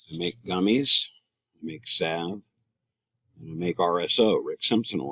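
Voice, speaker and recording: Taking long, frequent pauses, a man talks at a fairly slow pace with big swings in loudness, in a dry, close sound with no echo. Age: 60s. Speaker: cannabis advocate. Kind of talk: prepared speech. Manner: hesitant, with frequent fillers and self-corrections.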